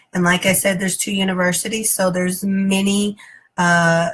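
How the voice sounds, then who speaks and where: A woman with a Texas accent, medium in pitch and fairly slow in pace. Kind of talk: personal testimony. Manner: halting, many fillers.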